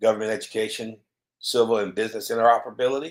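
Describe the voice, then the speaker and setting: Speaking with a Mississippi accent, a man has a medium-pitched voice. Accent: Southern US (Mississippi). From US South, Mississippi. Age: 50s. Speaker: cybersecurity author. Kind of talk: solo video commentary. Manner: halting, many fillers.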